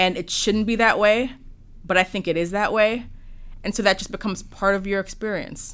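A woman's plain, everyday voice at a medium pitch, with fairly even intonation and a fairly quick pace. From Jamaica, then the Bronx, New York from age ten. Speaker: lawyer and police commissioner. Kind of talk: interview conversation. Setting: office interview recording.

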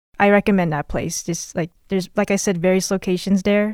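In an unremarkable speaking voice, a woman talks at a medium pitch with fairly even intonation, the sound dry and close with no echo on a very clean recording with a silent background. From Las Vegas (moved from Los Angeles at age 4 or 5). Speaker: podcast co-host, student. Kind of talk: casual chat.

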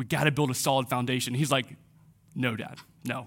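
The recording is very clean and the background silent. A man delivers his words at a fairly quick pace. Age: 30s. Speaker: pastor. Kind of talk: sermon. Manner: animated.

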